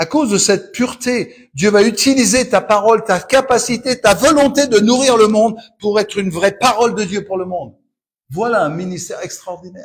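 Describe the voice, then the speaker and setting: In a very clean recording with a silent background, a man with a high-pitched voice speaks at a moderate pace with ordinary pitch variation. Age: 70s. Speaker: pastor. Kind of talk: sermon. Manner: animated.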